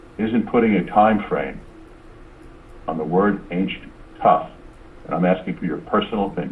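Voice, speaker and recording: A man's fairly low voice with long, frequent pauses over noticeable background noise. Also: ordinary pitch variation, moderate pace. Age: 60s. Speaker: attorney taking a deposition. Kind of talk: legal deposition questioning. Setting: deposition room. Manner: formal, insistent.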